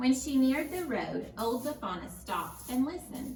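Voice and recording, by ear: A woman speaks at a fairly slow pace in a high, slightly mellow voice with big pitch swings, and the room echo is audible.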